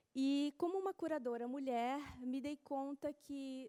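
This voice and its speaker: A woman with a Brazilian accent has a dark, mellow tone, recorded with a dry, close sound and no echo. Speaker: art curator. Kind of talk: conference talk.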